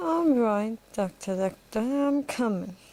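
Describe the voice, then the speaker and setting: Using a put-on character voice, a woman talks at a fairly slow pace with a fairly high pitch and lively intonation. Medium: solo performance.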